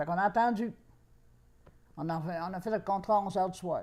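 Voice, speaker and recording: A woman with a Quebec accent speaks in a dark, mellow tone at medium pitch, with ordinary pitch variation. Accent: rural Quebec French. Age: 80s+. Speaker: grandmother. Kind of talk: interview answer, life story.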